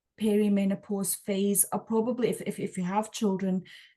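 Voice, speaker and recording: With a dark, mellow tone, a woman speaks at a moderate pace in a somewhat breathy voice. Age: 40s. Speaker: podcast host. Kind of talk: interview conversation. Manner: halting, many repeated words.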